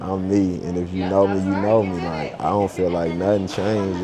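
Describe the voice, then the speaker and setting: Crowd noise and audible room echo surround a man with an American accent. His very deep, low voice moves at a fairly slow pace in a flat monotone. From Oklahoma. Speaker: business owner vlogger. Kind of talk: vlog monologue. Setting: airport.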